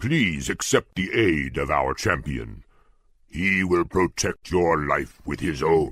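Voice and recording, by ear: A man puts on a character voice with extremely low pitch, big pitch swings and a slightly husky edge. His tone is fairly bright and his pace is slow. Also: very clean recording, silent background.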